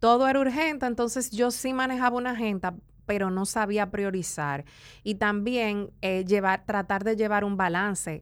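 A woman's medium-pitched voice in a Dominican accent, moderate pace and ordinary pitch variation, in a very clean recording with a silent background. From Dominican Republic, east (La Romana, San Pedro de Macorís). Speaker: entrepreneur, hair care brand owner. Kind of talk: interview.

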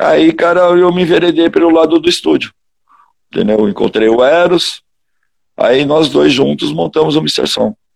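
A man talks at a moderate pace, leaving long, frequent pauses. His loudness stays very even throughout. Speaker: heavy metal singer. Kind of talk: casual interview chat.

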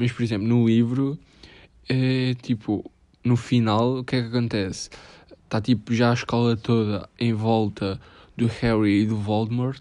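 At a moderate pace, a man with a medium pitch speaks in a European Portuguese accent with monotone, flat intonation. His tone is dark and mellow, and the background is quiet. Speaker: podcaster. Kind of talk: casual monologue.

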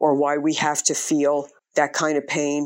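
A woman speaks very slowly in a very deep, low voice. The recording is very clean, with a silent background. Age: 50s. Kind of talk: testimony.

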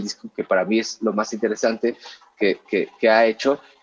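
A medium-pitched male voice with fairly even intonation, in a dry, close sound with no echo. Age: 30s. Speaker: musician turned music distribution executive. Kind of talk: podcast interview.

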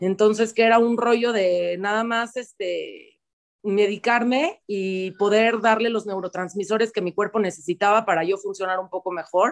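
This woman's medium-pitched voice moves at a moderate pace with fairly even intonation. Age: 30s. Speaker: singer and stage actor. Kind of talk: interview.

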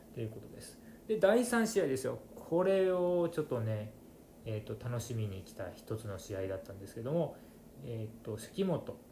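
Over noticeable background noise and audible room echo, a man talks at a moderate pace and medium pitch. His pitch swings very widely and his loudness rises and falls sharply. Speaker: podcast host, wrestling fan. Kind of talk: casual solo monologue. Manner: soft-spoken.

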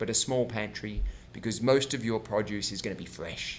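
At a moderate pace, a man with a plain, everyday voice speaks at medium pitch with fairly even intonation. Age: 40s. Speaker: health and wellness coach. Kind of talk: interview. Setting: host's home.

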